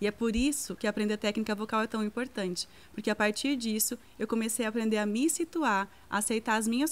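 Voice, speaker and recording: The background is silent on a very clean recording. An ordinary speaking voice talks fairly quickly, its pitch moving a normal amount. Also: woman. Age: 30s. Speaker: singer and voice teacher. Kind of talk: lecture.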